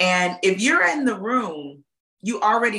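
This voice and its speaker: In an animated, bright, sharp tone, a woman with an American accent speaks at a fairly slow pace. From US South, Alabama. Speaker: pharmaceutical communications executive. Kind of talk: interview.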